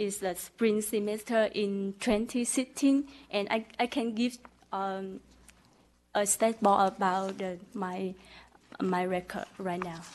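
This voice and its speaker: Very slow speech with fairly even intonation is broken by long, frequent pauses. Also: woman, medium pitch for a woman. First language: not English. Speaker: license applicant. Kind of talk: testimony. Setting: board meeting. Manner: halting.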